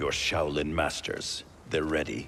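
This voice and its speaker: With clear background noise, a man puts on a character voice that is very deep and low in pitch, speaking at a fairly slow pace. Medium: video game. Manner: curt, serious.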